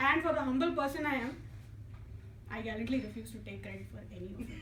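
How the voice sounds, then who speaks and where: A woman with an Indian accent talks at a very fast pace. Noticeable background noise and audible room echo fill the recording. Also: big swings in loudness. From India, Hyderabad. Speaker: engineer giving a club speech. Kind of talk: prepared humorous public speech. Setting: club meeting with audience. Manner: soft-spoken.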